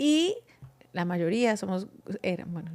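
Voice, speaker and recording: A woman speaks at a very slow pace in a strong Colombian accent, her pitch in the medium range. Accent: Bucaramanga Colombian, strong. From Colombia, Bucaramanga. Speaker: podcast guest. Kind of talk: casual chat.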